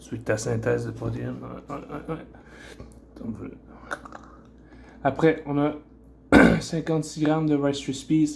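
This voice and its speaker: A man talks at a very slow pace, with long, frequent pauses. His loudness swings widely. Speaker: bodybuilder. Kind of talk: casual talk to camera, fitness vlog. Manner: casual, hesitant.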